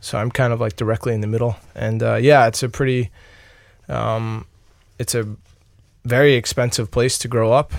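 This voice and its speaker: The speaker has a Long Island accent and fairly even intonation. There are long, frequent pauses throughout. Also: man, medium pitch for a man, moderate pace. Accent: New York (Long Island) American. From Long Island, New York. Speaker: ice hockey player. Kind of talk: interview. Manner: halting, many fillers.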